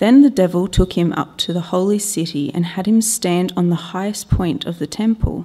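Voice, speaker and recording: Over a quiet background, a woman with an Australian accent speaks at a moderate pace with hardly any pauses, her medium-pitched, somewhat breathy voice dark and mellow with ordinary pitch variation. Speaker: lay Bible reader. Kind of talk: reading aloud. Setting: church. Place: church. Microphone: podium.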